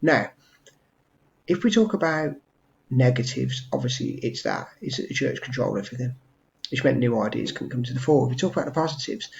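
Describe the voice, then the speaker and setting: The speaker talks very fast in an English accent, with vocal fry and ordinary pitch variation. The voice is quiet. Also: man. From England. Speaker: history teacher. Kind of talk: revision tutorial. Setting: at home. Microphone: webcam.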